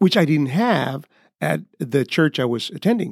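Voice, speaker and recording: Pitched fairly high, a man with a Honduran accent speaks at a moderate pace with very wide pitch swings. The sound is dry and close with no echo, in a very clean recording with a silent background. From Honduras, Tegucigalpa. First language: Spanish. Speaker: pastor and missionary. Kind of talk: interview. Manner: halting, hesitant, repeats words.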